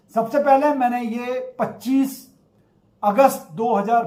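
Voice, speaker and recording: A high-pitched man with ordinary pitch variation, in audible room echo. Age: 60s. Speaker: acupressure therapist sharing health experience. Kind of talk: personal testimony.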